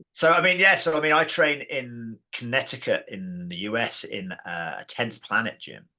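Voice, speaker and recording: With an English accent, a man speaks at a moderate pace and medium pitch in a bright, sharp tone, with very wide pitch swings and big swings in loudness. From England. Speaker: martial arts system founder. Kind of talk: podcast interview.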